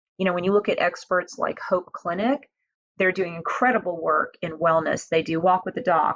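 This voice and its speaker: A woman with an American accent speaks at medium pitch in an unremarkable speaking voice. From Houston, Texas. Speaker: nonprofit founder and health advocate. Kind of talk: podcast interview.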